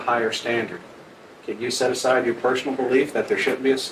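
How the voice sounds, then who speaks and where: Speaking very fast, the man is heard with noticeable background noise and audible echo from the room. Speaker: trial lawyer questioning jurors. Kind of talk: jury selection questioning. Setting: courtroom. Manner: soft-spoken.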